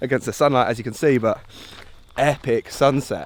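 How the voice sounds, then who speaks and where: A man speaks at a moderate pace and a medium pitch, with noticeable background noise. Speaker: travel vlogger. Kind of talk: casual vlog narration. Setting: outdoors. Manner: animated.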